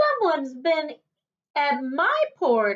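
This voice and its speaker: The voice is a put-on character. Its delivery is very slow. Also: woman. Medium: read story.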